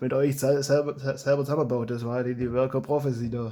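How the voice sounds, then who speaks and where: In a Swabian accent, a man talks with monotone, flat intonation. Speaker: hobby blaster modder and YouTuber. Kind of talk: casual talk to camera.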